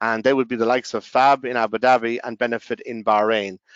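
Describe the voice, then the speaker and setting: Using fairly even intonation, a man with an Irish accent speaks at a medium pitch and a fairly quick pace. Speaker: software company representative. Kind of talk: sales pitch. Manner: halting, many fillers and restarts.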